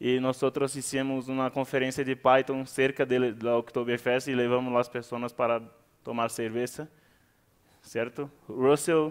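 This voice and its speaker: A man speaks in a monotone, flat intonation against a quiet background. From Brazil. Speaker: conference speaker, Python community organizer; conference speaker. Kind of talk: conference talk. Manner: halting, with frequent fillers. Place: hall.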